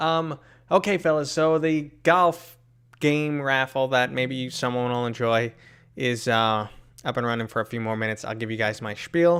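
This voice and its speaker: A man with an American accent at a moderate pace, in a very clean recording with a silent background. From New York City. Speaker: VR gaming streamer. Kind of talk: live stream Q&A chat. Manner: casual, chatty.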